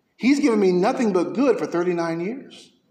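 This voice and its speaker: Audible room echo surrounds this man's voice, which sits high in pitch. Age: 30s. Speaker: pastor. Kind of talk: sermon. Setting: church.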